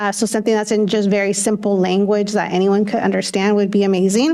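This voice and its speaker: Speaking very fast with a Spanish accent, a woman keeps a medium pitch, fairly even intonation and very even loudness. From California, Windsor area; Spanish-speaking immigrant family. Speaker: school board member. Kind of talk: public meeting remarks. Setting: school board meeting. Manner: halting, many fillers.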